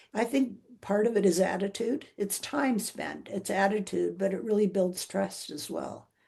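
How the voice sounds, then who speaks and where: A woman with a Canadian accent speaks at a fairly slow pace with hardly any pauses. Her medium-pitched voice has a dark, mellow tone, vocal fry and ordinary pitch variation. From Vancouver, Canada. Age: 70s. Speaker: retired teacher and principal, trekker, author. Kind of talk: interview answer.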